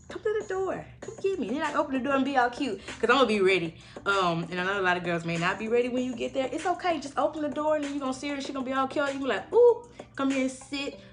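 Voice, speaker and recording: Over noticeable background noise, a woman talks very fast in a high voice with very wide pitch swings. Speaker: podcast host. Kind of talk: casual chat. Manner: animated.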